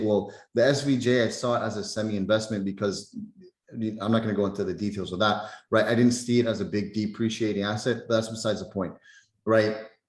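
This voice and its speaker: Fairly low and flat in a monotone, a man talks at a fairly quick pace amid audible room echo. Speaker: trading mentor. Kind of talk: live webinar Q&A. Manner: casual, filler-heavy.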